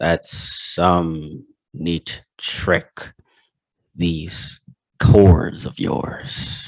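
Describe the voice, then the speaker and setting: A man puts on a menacing character voice, very deep and low with ordinary pitch variation. He talks at a very slow pace with long, frequent pauses. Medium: game stream. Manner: menacing, mocking.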